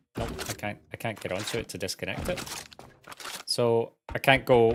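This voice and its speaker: A man with a British accent speaks with big swings in loudness. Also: medium pitch for a man, ordinary pitch variation, moderate pace. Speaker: gaming streamer. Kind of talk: live gameplay commentary.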